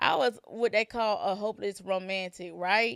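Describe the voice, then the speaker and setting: A woman speaks in an animated tone at a fairly slow pace on a very clean recording with a silent background. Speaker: podcast host. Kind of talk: casual storytelling monologue. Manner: stutter.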